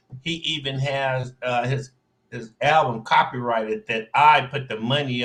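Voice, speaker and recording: This man has an unremarkable speaking voice, talking at a moderate pace and medium pitch with ordinary pitch variation. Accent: American. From US Midwest, St. Louis. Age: 60s. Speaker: online show host and music promoter. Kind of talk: casual livestream monologue. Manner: conversational, loose.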